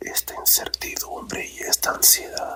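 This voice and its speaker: Whispering from a man, with noticeable background noise around it. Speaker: ASMR storyteller. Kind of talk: sleep story. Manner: whispered.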